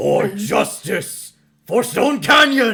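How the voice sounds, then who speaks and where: A man's raspy, put-on character voice. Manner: heroic, declaiming.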